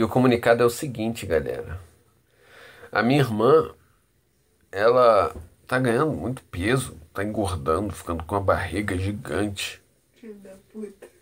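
The speaker moves at a moderate pace, with long, frequent pauses. Intonation is lively, and loudness swings widely. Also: man, medium pitch for a man. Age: 30s. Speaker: vlogger. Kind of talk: casual vlog monologue. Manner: animated.

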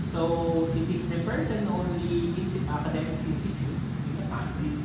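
Moderate pace and ordinary pitch variation, with loud background noise and audible room echo. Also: man. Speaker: presenter. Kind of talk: presentation. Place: meeting room.

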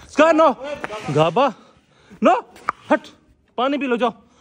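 A man's intonation is lively over noticeable background noise. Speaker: pet vlogger. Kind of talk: casual vlog chat. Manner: animated.

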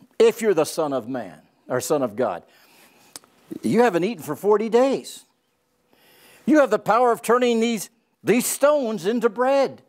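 Very wide pitch swings in a man's speech over a quiet background. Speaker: Bible teacher. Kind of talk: lecture. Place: studio. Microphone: lapel.

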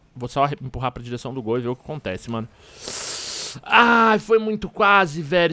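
Using very wide pitch swings and big swings in loudness, a man speaks in a bright, sharp tone, the sound dry with no echo. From Minas Gerais, Brazil. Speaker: gaming youtuber. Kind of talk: gameplay commentary. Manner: animated.

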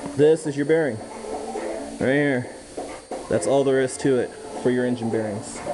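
Clear music plays in the background as the speech moves at a fairly quick pace with ordinary pitch variation. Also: man. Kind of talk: tutorial. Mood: relaxed, joking. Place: garage. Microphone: camera far.

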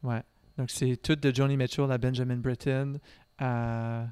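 On a very clean recording with a silent background, a man at medium pitch talks at a very slow pace, the sound dry and close with no echo. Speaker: classical singer and student. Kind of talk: casual chat. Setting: brewery.

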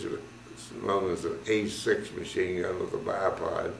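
The man's voice comes with audible room echo and light background noise. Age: 80s+. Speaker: war veteran. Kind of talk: interview answer. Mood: calm, reflective, grave at times. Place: home room.

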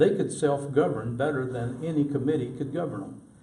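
A man at a medium pitch with fairly even intonation and audible room echo. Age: 70s. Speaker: city council candidate. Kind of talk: interview.

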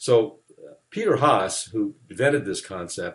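The man's voice is somewhat breathy. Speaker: university lecturer. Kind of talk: lecture. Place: office. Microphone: webcam.

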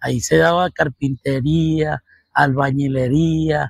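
The man's medium-pitched voice is somewhat breathy, with a dry, close sound with no echo. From Venezuela, Caracas. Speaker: mathematics professor and researcher. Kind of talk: interview. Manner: halting, with many fillers.

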